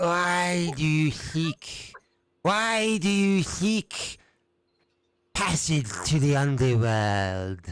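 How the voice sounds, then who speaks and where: Very slow speech from a man using a put-on character voice pitched fairly high. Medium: actual play. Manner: solemn, cryptic.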